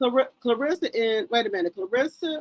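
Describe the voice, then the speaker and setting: Recorded dry and close with no echo, a woman speaks with very wide pitch swings. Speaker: YouTube live streamer, gossip commentator. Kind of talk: casual live stream chat. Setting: live stream. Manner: loud.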